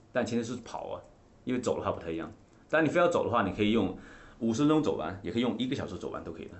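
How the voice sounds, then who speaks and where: This man speaks very fast with lively intonation. His voice is somewhat breathy. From coal mining area in China, rural. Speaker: fitness coach and trainer of coaches. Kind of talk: interview chat about fitness. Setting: podcast studio.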